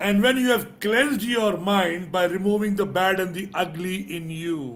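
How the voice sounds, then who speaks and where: Speaking with an Indian accent, a man uses a high pitch, ordinary pitch variation and a moderate pace. Room echo is audible. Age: 60s. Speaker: business and leadership coach. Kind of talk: motivational talk in live interview.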